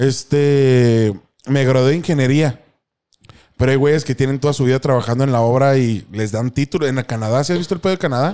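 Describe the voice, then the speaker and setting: The voice has a dark, mellow tone and ordinary pitch variation at a fairly quick pace. The recording is very clean with a silent background. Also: man, medium pitch for a man, very even loudness. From Mexico, Chihuahua (Sierra Madre Occidental). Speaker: podcast host. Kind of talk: casual chat.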